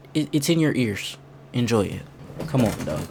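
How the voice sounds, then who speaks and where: A man talks over noticeable background noise. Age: 20s. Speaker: streamer reacting to a video. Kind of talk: reaction stream commentary. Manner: animated.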